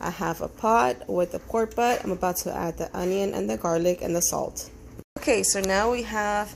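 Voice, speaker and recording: The speaker is a woman. She talks in a Spanish accent. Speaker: home cook. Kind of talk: tutorial. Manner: casual, hesitant with fillers.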